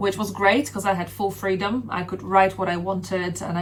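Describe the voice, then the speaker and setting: A woman with a Polish accent speaks at a fairly quick pace in a fairly low voice with fairly even intonation. Noticeable background noise and audible room echo surround her. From Poland (Sopot, north coast). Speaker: rapper and singer. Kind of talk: interview. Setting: radio studio.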